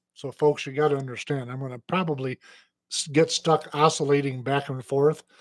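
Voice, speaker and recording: Fairly quick speech in an Upper Midwest accent, monotone and flat, with a dry, close sound and no echo. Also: man, fairly high pitch for a man. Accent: Upper Midwest American. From Michigan. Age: 60s. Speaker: radio host. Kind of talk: casual chat. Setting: studio.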